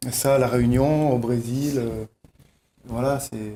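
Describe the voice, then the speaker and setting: A man speaks at a very slow pace in a dark, mellow tone, with a medium pitch and fairly even intonation. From mainland France. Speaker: festival organizer and musician. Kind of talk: TV talk show interview. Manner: halting.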